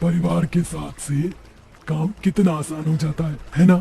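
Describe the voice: A man's cartoonish character voice, fairly high-pitched, at a moderate pace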